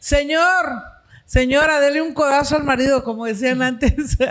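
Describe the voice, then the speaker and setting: The background stays quiet. Words come at a moderate pace. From Mexico. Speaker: comedian and interview show host; comedian, interview show host. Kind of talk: casual interview chat. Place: studio. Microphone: studio mic.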